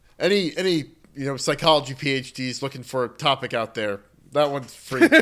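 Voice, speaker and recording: A man's fairly high pitch with ordinary pitch variation, a plain, everyday voice. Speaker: podcast co-host. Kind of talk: casual chat about games.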